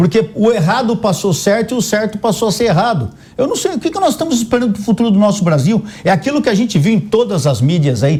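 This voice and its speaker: Delivered at a very fast pace, the speech has lively intonation and an animated tone over noticeable background noise. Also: man, high pitch for a man. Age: 60s. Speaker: political commentator, retired police colonel. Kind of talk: panel debate.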